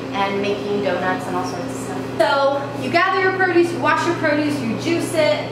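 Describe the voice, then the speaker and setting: A woman talks at a moderate pace with hardly any pauses, with loud background noise and audible room echo around her. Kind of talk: casual tour commentary. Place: kitchen.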